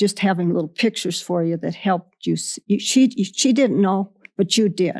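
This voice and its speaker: A woman with a Western US accent speaks at a medium pitch with ordinary pitch variation. The recording is very clean and dry, close with no echo and a silent background. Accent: American Western. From Wyoming. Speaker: ranch woman. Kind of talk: interview answer.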